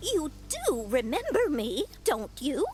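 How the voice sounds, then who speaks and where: A put-on character voice speaks at a high pitch and a fairly slow pace, with very wide pitch swings. Clear background noise is present. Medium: video game. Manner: prim, chatty.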